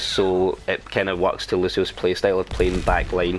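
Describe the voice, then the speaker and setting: Music plays behind a man speaking with a strong Scottish accent. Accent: Scottish, thick. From Scotland. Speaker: gamer. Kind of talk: game tutorial commentary. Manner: casual.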